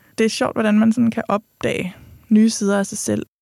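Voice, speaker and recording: On a very clean recording with a silent background and a dry, close sound with no echo, a woman uses an ordinary speaking voice, fairly high in pitch, at a moderate pace. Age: 30s. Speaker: podcast host. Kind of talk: podcast monologue.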